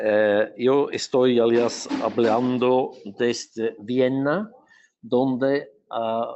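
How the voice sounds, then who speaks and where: Very slow speech in a Portuguese accent with fairly even intonation. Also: man, medium pitch for a man. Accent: Portuguese-tinged Spanish. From Switzerland. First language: not Spanish (Swiss, lives in Portugal) (speaking Spanish). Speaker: urban planner and electric mobility specialist. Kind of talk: webinar presentation. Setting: online webinar. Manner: halting, many fillers and restarts.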